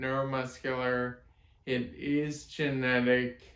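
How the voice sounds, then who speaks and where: A man's medium-pitched, flat, monotone voice at a very slow pace, with audible room echo. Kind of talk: casual explainer monologue. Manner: slurred, ataxic speech; halting.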